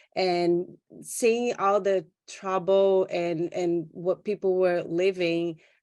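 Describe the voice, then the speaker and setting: Very slow and monotone with flat intonation, the voice carries a Brazilian Portuguese accent. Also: woman, medium pitch for a woman. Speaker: doula and photographer. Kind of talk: panel introduction. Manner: halting.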